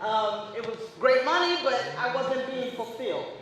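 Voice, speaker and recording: A woman with a high pitch speaks at a moderate pace. Noticeable background noise and audible room echo fill the recording. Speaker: victim services deputy. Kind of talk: presentation. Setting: event with audience, no mic. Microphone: no microphone, speaking unamplified.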